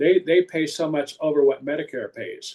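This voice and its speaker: Here is a man with an unremarkable speaking voice. He has a fairly high pitch and keeps a moderate pace. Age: 60s. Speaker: health insurance advisor. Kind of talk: explanatory discussion on a livestream talk show.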